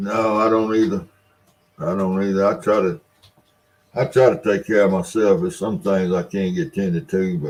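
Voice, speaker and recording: A man talks in a Mississippi accent at a fairly low pitch. His pace is moderate, with long, frequent pauses. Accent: Southern US (Mississippi). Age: 70s. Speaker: live stream host. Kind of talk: casual chat. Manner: halting.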